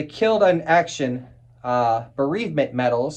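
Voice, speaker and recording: Using an American accent, a man talks at a moderate pace and fairly high pitch with ordinary pitch variation. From United States. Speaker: militaria collector. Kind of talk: casual show-and-tell video. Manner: casual, animated.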